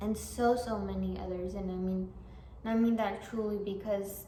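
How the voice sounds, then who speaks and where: A woman speaks with a non-native accent and fairly even intonation. Audible room echo and noticeable background noise surround her voice. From immigrant, came as a small child. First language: not English. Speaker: artist and vlogger. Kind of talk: motivational vlog talk. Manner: halting, with fillers and restarts.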